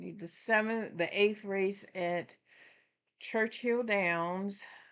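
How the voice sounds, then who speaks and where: The woman speaks at a very slow pace. Her pitch is medium and her intonation fairly even. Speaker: horse racing livestream host. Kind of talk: live racing commentary and handicapping chat. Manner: casual, thinking aloud; mumbling.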